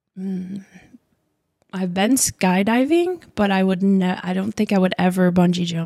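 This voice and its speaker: Her dark, mellow tone at a medium pitch carries an American accent as the woman speaks at a fairly slow pace with fairly even intonation. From Michigan, US Midwest. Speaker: childcare center owner, former pageant queen. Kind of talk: casual interview chat.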